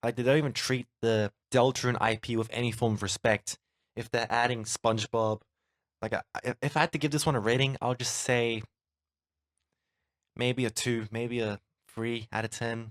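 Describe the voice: A man speaks with fairly even intonation. The sound is dry and close with no echo, in a very clean recording over a silent background. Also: medium pitch for a man, moderate pace.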